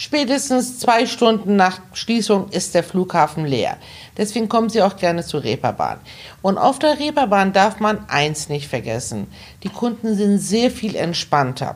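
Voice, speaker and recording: Speaking at a fairly slow pace, a woman with vocal fry moves through very wide pitch swings around a medium pitch. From Hamburg, northern Germany (born in Iran). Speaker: travel agent. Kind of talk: interview conversation.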